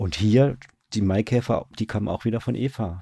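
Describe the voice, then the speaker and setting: A man talks at a moderate pace with a dark, mellow, somewhat breathy tone. His intonation stays fairly even. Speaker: radio drama director. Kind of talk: casual interview. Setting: online call.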